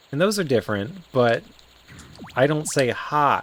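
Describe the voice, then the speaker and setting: Noticeable noise sits in the background while the words come at a fairly slow pace. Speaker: game streamer. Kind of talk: casual commentary while playing a video game. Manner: casual, hesitant with many fillers and repetitions.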